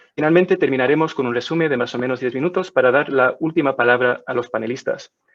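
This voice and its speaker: The speaker is a man with a fairly high voice. His pitch varies in an ordinary way. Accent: non-native. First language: not Spanish (speaking Spanish). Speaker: webinar moderator. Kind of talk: moderated webinar introduction. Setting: online webinar. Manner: halting.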